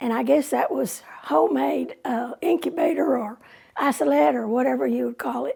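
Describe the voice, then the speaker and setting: A woman talks in a Texan accent. She keeps a moderate pace. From Texas, San Angelo. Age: 80s+. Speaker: oral history narrator. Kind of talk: oral history storytelling.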